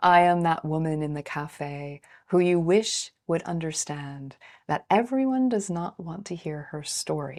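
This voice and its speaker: In a very clean recording with a silent background, a woman with a fairly low voice speaks at a fairly slow pace, her intonation lively and her loudness swinging widely. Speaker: spiritual mentor and author. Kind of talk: reading aloud from own audiobook. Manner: tempered, held back in volume.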